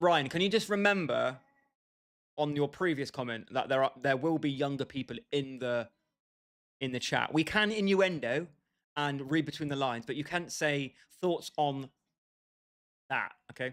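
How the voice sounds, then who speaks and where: A man with a fairly high pitch speaks at a moderate pace with ordinary pitch variation. He takes long, frequent pauses. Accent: British. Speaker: gaming livestreamer. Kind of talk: casual chat. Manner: animated.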